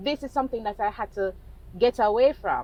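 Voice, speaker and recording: A woman speaks at a fairly high pitch. Her voice carries vocal fry. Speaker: vlogger in sales. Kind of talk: casual monologue vlog. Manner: slow, measured; hesitant, halting.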